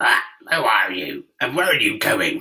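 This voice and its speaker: Someone speaks at a moderate pace in a raspy, put-on character voice. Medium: read story.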